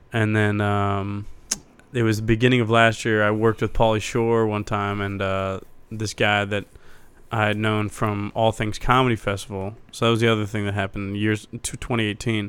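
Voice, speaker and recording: A man with an American accent talks at a moderate pace in a fairly low pitch and a monotone, flat intonation. The recording is very clean with a silent background. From Ohio, Cincinnati. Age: 30s. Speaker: stand-up comedian. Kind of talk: casual chat.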